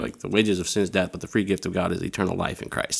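A man speaks with a Midwestern US accent in a very deep, low voice. The recording is very clean, with a silent background. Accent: US Midwest. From Iowa, Des Moines. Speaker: campus ministry leader. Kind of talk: casual chat.

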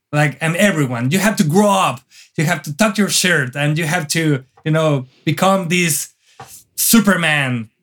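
On a very clean recording with a silent background, a man speaks with a Mexican accent. His pitch is fairly high, with ordinary variation. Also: fairly slow pace. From northern Mexico, near the Texas border. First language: Spanish. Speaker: wedding photographer. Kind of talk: casual interview chat. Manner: energetic, animated.

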